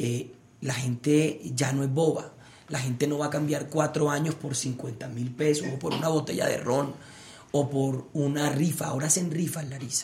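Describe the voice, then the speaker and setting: Spoken at a moderate pace with fairly even intonation, the voice carries audible room echo over noticeable background noise. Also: man, fairly high pitch for a man. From Colombia, Barranquilla (Caribbean coast). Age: 30s. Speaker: politician, Senate candidate. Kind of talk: political debate. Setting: livestream interview.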